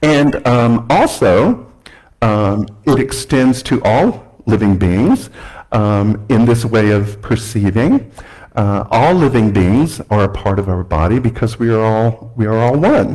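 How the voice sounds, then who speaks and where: A man speaks very slowly in an American accent, at a medium pitch with ordinary pitch variation. His tone is dark and mellow, and his loudness stays very even. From US South, Alabama. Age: 60s. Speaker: guest speaker. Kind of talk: sermon. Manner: halting, many fillers.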